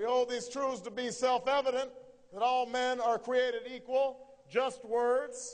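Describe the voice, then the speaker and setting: Extremely high in pitch, a man speaks very slowly with fairly even intonation in an American accent. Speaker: politician. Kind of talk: political campaign speech. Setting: live event hall with audience. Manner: rising with indignation and scorn.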